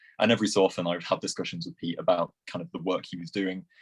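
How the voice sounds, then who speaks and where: In a Lancashire accent, a man speaks at a very fast pace with a very deep, low pitch and monotone, flat intonation, the recording very clean with a silent background and a dry, close sound with no echo. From Lancashire, northwest England. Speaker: classics student and poet. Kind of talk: interview.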